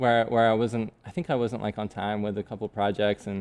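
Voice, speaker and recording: A man with a fairly low pitch and an American accent, monotone and flat in intonation, in a dry, close sound with no echo against a quiet background. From southern England. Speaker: metal fabrication business owner. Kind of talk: casual interview chat.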